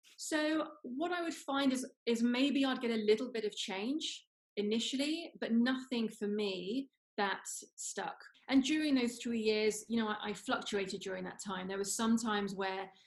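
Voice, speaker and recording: A woman's fairly high voice with a London accent, at a moderate pace with ordinary pitch variation. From London, England. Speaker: former radio entertainment reporter, CFS recovery coach. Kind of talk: interview, personal recovery story.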